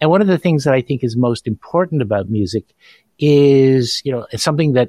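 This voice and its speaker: A man with an unremarkable speaking voice talks at medium pitch and a moderate pace. The sound is dry and close, without echo. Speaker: podcast host. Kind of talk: interview.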